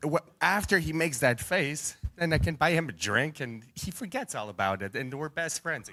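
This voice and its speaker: On a very clean recording with a silent background, a man with a Canadian accent talks at a moderate pace in a fairly high-pitched voice with a bright, sharp tone, vocal fry and very wide pitch swings. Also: big swings in loudness. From Canada. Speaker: arm wrestler. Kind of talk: press conference trash talk. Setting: hotel press conference.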